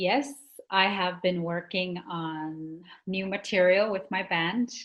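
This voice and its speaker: A woman with a Canadian Arctic accent speaks at a medium pitch. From Nunavik, Quebec (Inuit). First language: Inuktitut. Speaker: singer-songwriter. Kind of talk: interview.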